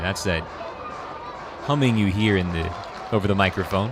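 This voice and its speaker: Over noticeable background noise, a man with a very deep, low pitch speaks in an energetic tone with ordinary pitch variation. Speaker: baseball radio play-by-play announcer. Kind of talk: live sports radio play-by-play. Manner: fast, energetic, descriptive.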